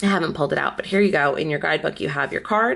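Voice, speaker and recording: A woman's voice with vocal fry and lively intonation. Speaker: tarot and oracle deck reviewer. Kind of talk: casual product review. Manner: hesitant, many fillers.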